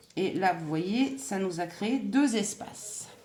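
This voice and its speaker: With audible room echo, a woman talks at a very slow pace using lively intonation. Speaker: crochet and scrapbooking youtuber. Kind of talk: tutorial.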